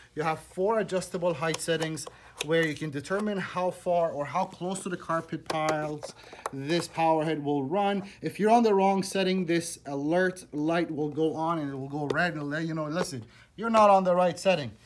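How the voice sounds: With audible room echo around him, a man speaks at a moderate pace in a fairly high voice with ordinary pitch variation.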